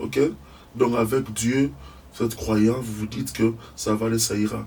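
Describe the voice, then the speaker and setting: This man's pitch moves in an ordinary way. He talks at a fairly slow pace. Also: medium pitch for a man, big swings in loudness. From DR Congo. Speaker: engineer and scientist. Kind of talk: interview. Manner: halting.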